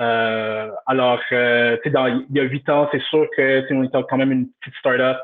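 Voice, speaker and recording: Speaking fairly slowly in a flat monotone, a man barely pauses at all. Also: medium pitch for a man. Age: 30s. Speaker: customer service director. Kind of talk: interview. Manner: halting.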